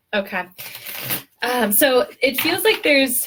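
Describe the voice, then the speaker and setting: A woman with lively intonation. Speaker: tarot reader. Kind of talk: live tarot reading. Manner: fast.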